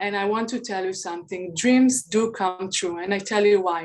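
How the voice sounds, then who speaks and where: A woman with a non-native accent speaks at a moderate pace with ordinary pitch variation. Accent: foreign. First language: not English. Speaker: beauty brand founder. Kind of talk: pitch presentation.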